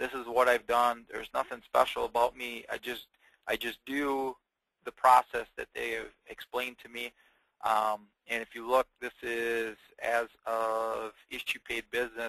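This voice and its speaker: With a Wisconsin accent and a bright, sharp tone, the voice moves at a fairly slow pace in monotone, flat intonation, showing big swings in loudness in a dry, close sound with no echo. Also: man, medium pitch for a man. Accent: northern US, Wisconsin. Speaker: insurance agent. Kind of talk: webinar presentation. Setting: webinar. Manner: casual, many fillers; laid-back.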